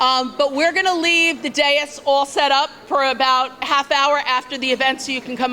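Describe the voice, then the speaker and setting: Over noticeable background noise, a woman with a high pitch uses a raised, projected voice at a moderate pace. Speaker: school vice principal. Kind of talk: ceremony welcome speech. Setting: banquet hall with large audience. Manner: loud.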